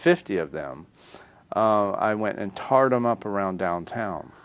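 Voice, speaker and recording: A man with a slight Southern accent speaks with lively intonation. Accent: slight southern drawl. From US South, North Carolina and Florida. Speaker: artist. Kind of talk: interview. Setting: studio.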